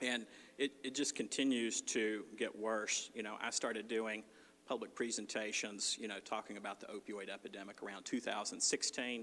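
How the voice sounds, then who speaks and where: A man's medium-pitched voice with a Southern accent, a bright, sharp tone and monotone, flat intonation. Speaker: clinical social worker and addiction counselor. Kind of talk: presentation at community forum. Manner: fast when anxious.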